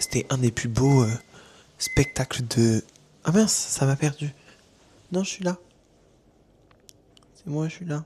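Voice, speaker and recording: Very slow and broken by long, frequent pauses, a man's somewhat breathy voice sits fairly high in pitch, with a dark, mellow tone and big swings in loudness. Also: ordinary pitch variation. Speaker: vlogger. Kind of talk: casual vlog talk. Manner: hesitant, many fillers.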